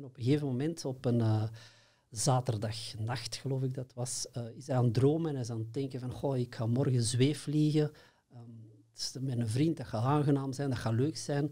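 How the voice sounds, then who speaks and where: Quiet background, a man's medium-pitched voice, dark, mellow and somewhat breathy, with ordinary pitch variation, big swings in loudness and a moderate pace. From Belgium, Antwerp; Belgium. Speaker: workshop trainer in consciousness programs. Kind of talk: interview. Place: studio. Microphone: studio mic.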